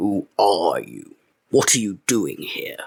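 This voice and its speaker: A man puts on a growling character voice. He speaks at a very slow pace. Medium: read story. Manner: masterful, curt, dictatorial.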